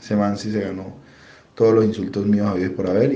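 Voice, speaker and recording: A man speaks slowly-ish at a fairly slow pace, his pitch fairly low and his tone dark and mellow. Room echo is audible. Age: 40s. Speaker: football fan. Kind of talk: vox-pop testimony.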